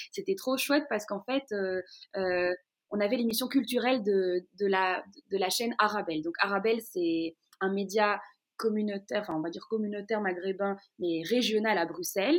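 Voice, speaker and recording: Speaking at a moderate pace, a woman with a medium pitch and ordinary pitch variation has a plain, everyday voice. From Brussels, Belgium. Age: 20s. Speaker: radio host. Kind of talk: interview. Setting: at home in her living room.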